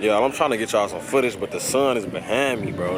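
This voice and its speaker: A man speaks at a very fast pace in an animated tone with ordinary pitch variation. Music plays behind him, and room echo is audible. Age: 20s. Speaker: travel vlogger. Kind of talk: casual vlog talk. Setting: outdoors.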